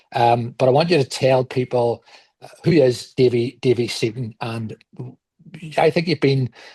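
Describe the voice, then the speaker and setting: A man with a Belfast accent speaks at a moderate pace and medium pitch, with long, frequent pauses and fairly even intonation. His tone is dark, mellow and somewhat breathy, in a dry, close sound with no echo. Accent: Belfast, Northern Irish. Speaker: podcast host. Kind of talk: podcast interview.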